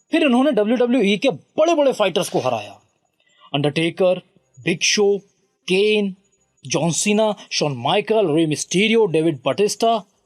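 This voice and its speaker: This man's voice makes very wide pitch swings at a very even loudness. The sound is dry and close, with no echo. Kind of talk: biography narration; documentary narration.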